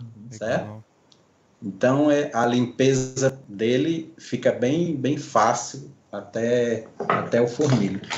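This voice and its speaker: Loudness swings widely while the speaker moves at a very slow pace with ordinary pitch variation. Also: man, medium pitch for a man. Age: 60s. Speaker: pipe maker and artisan. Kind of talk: casual interview.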